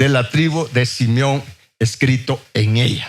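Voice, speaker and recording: Somewhat breathy, a man's voice comes through at a medium pitch. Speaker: preacher. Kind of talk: sermon.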